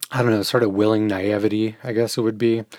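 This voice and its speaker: Recorded very cleanly against a silent background, with a dry, close sound and no echo, a man with a plain, everyday voice speaks at a fairly low pitch in fairly even intonation. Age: 40s. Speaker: podcast host. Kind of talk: solo monologue.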